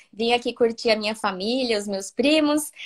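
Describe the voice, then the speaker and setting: With a Brazilian accent, a woman speaks at a moderate pace and a fairly high pitch. Her pitch varies in an ordinary way against a quiet background. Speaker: preschool teacher. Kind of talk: live stream interview. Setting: live video stream, on holiday at a cousin's house.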